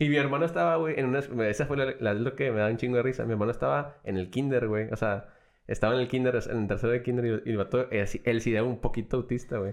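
Talking very fast, a man keeps a medium pitch and ordinary pitch variation. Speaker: podcast co-host. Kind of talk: casual chat.

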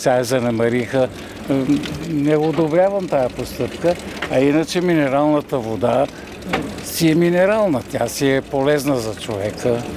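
Over noticeable background noise, the speech unfolds at a fairly slow pace. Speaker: passer-by at public fountain. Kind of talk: street interview. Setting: outdoors.

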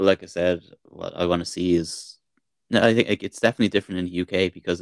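In a very clean recording with a silent background and a dry, close sound with no echo, a man with an Irish accent and a very deep, low pitch talks at a very fast pace. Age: 40s. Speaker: podcast co-host. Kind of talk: casual chat.

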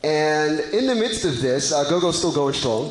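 A man with an American accent speaks at a very slow pace, his pitch fairly high. Noticeable background noise and audible room echo fill the recording. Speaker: panel moderator. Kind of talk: panel discussion.

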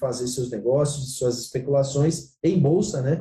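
A dark, mellow, somewhat breathy tone with fairly even intonation. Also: man. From Santa Catarina, Brazil. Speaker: agricultural market consultant. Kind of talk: interview on commodity markets.

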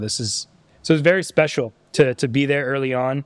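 An unremarkable speaking voice with fairly even intonation comes through dry and close with no echo, on a very clean recording with a silent background. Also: man. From Canada, Ottawa. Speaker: streetwear brand founder. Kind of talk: casual interview. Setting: brand's studio.

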